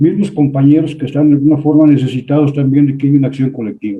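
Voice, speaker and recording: Fairly high in pitch, a man's voice rushes along. His pace is very fast. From Mexico. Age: 70s. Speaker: audience participant. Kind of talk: online seminar discussion.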